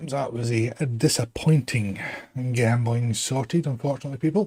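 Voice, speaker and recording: With a slight Glasgow accent, a man talks at a moderate pace in a medium pitch, his dark, mellow tone somewhat breathy and his pitch variation ordinary. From Scotland, West Lothian. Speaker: gaming streamer. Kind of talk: casual chat.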